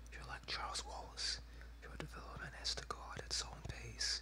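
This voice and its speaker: Someone whispers, soft-spoken, at a moderate pace. Noticeable background noise sits behind the voice. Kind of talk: read story. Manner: whispered.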